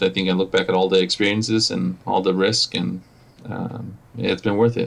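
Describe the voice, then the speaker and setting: Using a Spanish accent, a man with a fairly low pitch and vocal fry talks at a moderate pace with ordinary pitch variation. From Mexico. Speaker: operations manager. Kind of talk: podcast interview. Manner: halting, many fillers and repetitions.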